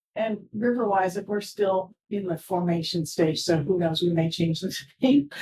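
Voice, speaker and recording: A woman speaks at a moderate pace with a fairly low pitch and ordinary pitch variation. Her tone is dark and mellow, and somewhat breathy. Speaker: conservation organization speaker. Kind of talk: public talk Q&A.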